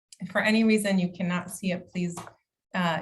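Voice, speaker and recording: A woman of medium pitch speaks in a somewhat breathy voice with monotone, flat intonation. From immigrant to the US, grew up partly in the US. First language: not English. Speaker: county equity officer. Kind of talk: conference presentation.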